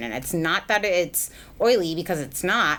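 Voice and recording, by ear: A woman speaks with lively intonation. Her tone is fairly bright.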